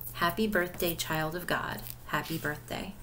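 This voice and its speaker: Fairly low in pitch with fairly even intonation, a woman speaks in a gentle, warm tone over light background noise. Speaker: pastor leading devotion. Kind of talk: devotional video: book review with read-out prayers; fervent prayer, read aloud with warm sincerity. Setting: recorded video. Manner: gentle, warm, sincere, unhurried; conversational, with filler words. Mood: calm, gentle, devotional. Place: home room. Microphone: webcam.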